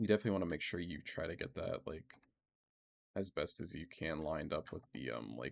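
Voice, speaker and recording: Speaking at a fairly quick pace, a man uses a very deep, low voice with vocal fry. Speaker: modding tutorial creator. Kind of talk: tutorial. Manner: casual, hesitant with many fillers.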